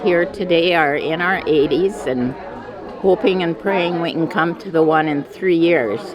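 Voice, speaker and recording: Amid crowd noise and audible room echo, a woman speaks very slowly with lively intonation. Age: 80s. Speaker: family elder at reunion. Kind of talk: interview testimony.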